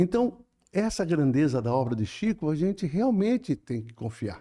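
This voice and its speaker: The voice has a dark, mellow tone and very wide pitch swings, heard on a very clean recording with a silent background. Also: man. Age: 70s. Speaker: spiritist speaker. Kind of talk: podcast conversation.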